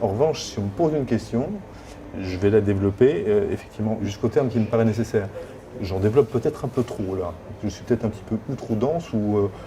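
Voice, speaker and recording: A man's medium-pitched voice at a very fast pace, with ordinary pitch variation and noticeable background noise. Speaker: job seeker, former HR director. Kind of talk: coaching session. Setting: hotel.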